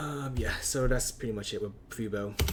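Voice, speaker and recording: A man speaks at a moderate pace in a flat monotone. His voice is somewhat breathy. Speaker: stock trader. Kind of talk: casual screen-share market analysis. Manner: unscripted, hesitant with fillers.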